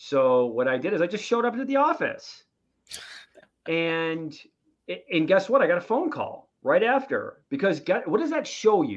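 A man with a high pitch talks at a moderate pace, his pitch swinging very widely, with long, frequent pauses. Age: 30s. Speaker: real estate investor. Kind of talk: casual chat.

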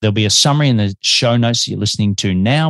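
The speaker has an Australian accent and ordinary pitch variation. The sound is dry and close with no echo, over a quiet background. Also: man. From Melbourne, Australia. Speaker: podcast host. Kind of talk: interview.

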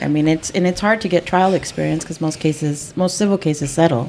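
A woman speaks with a Spanish accent. Her pace is fairly quick. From East LA. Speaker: podcast host, employment attorney. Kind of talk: casual interview chat.

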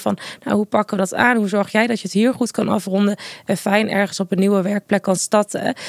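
A woman with an ordinary speaking voice, medium pitch, and a fairly quick pace, in a dry, close sound with no echo. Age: 20s. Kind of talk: casual interview.

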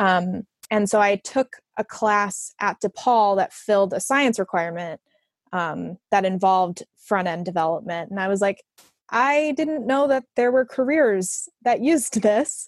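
A woman with an American accent has an ordinary speaking voice, a medium pitch and lively intonation, at a fairly slow pace. The sound is dry and close with no echo, over a quiet background. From Chicago area, Illinois. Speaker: user experience designer. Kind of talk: casual interview.

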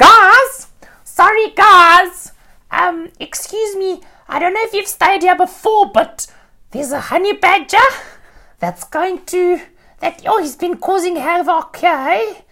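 Pitched extremely high, this put-on character voice moves at a fairly slow pace. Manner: fussy, urgent.

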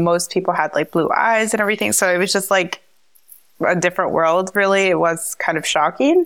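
In a New Jersey accent, a woman talks at medium pitch with ordinary pitch variation. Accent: American, New Jersey. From US Northeast, New Jersey. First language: Spanish. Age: 30s. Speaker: travel entrepreneur. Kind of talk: interview.

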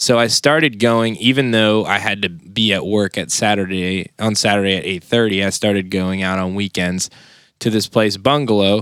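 Heard on a very clean recording with a silent background, a normal speaking voice keeps fairly even intonation at a moderate pace. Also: man, fairly low pitch for a man. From Southern Maryland (St. Mary's County). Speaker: drummer and music producer. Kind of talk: casual chat.

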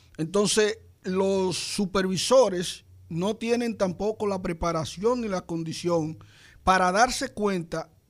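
A man speaks in a high register, his pitch varying by a typical amount. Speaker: psychologist. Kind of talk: radio health talk.

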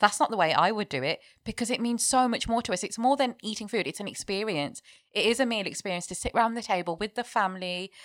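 At a very fast pace, a woman talks in a fairly high pitch with ordinary variation, captured with a dry, close sound with no echo on a very clean recording with a silent background. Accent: British. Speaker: chef. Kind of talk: casual chat.

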